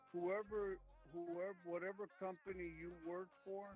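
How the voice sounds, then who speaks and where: The speech moves at a fairly slow pace with music in the background. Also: man. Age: 70s. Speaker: homeowner seller. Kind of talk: phone negotiation.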